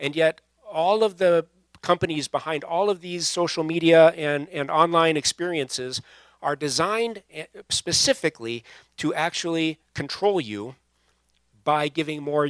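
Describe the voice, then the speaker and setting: A man with a fairly high pitch talks at a moderate pace, his lively intonation marked by big swings in loudness and long, frequent pauses. The recording is very clean with a silent background and a dry, close sound with no echo. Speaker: pastor. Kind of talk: sermon to a young adult audience. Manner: casual, conversational.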